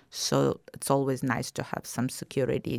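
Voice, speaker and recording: A woman with a Russian accent speaks at a moderate pace with vocal fry, in a dry, close sound with no echo on a very clean recording with a silent background. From Ukraine, Kyiv. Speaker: documentary filmmaker and historical society president. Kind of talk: interview.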